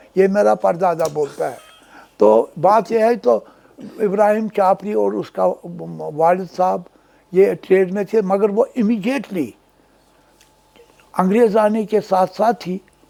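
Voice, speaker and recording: This is a man talking. His pitch is high. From Kashmir, Srinagar. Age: 80s+. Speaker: businessman. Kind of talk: oral history interview. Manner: hesitant with fillers, code-switching.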